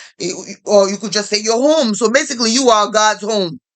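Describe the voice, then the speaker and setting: The speaker moves at a fairly quick pace. The intonation is lively. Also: woman. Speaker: religious commentary vlogger. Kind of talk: casual monologue. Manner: fast; animated.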